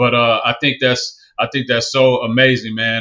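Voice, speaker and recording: Someone with a Southern US accent talks at a moderate pace in a monotone, flat intonation. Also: man. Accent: Southern, picked up after moving. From California, Bay Area. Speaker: podcast host. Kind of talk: interview conversation. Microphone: choppy video connection.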